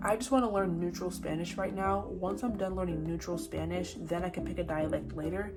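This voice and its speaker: Over music in the background and audible room echo, a woman speaks at a fairly quick pace in a fairly low pitch. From South Florida, US. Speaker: vlogger. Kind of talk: casual vlog; language lesson conversation.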